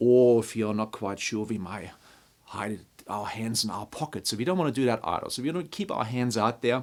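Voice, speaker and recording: In a very clean recording with a silent background, a man with a non-native accent talks at a moderate pace and a medium pitch. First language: not English. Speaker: construction leadership trainer. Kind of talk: tutorial. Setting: talking to a camera.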